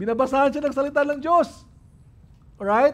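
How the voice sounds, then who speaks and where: The voice belongs to a man with an extremely high pitch. His pitch variation is ordinary. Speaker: pastor. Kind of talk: sermon.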